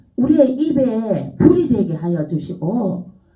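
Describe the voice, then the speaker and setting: A woman speaks at a very slow pace with very wide pitch swings, and audible room echo surrounds her voice. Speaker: pastor. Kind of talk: sermon.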